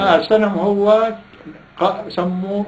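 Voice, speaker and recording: A man talks with a Palestinian accent over light background noise. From Salama, Jaffa, Palestine. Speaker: Nakba survivor, oral history interviewee. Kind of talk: interview answer. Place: home room. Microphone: camera far.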